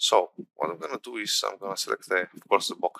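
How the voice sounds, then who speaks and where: Talking at a very fast pace, a man is heard in a dry, close sound with no echo. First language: not English. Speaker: game development instructor. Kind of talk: tutorial. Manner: halting, many fillers.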